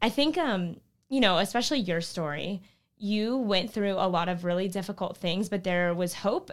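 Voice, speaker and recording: A woman talks at a medium pitch and moderate pace, with ordinary pitch variation. The recording is very clean, with a silent background. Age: 20s. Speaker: nonprofit founder and director. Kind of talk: interview conversation. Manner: animated.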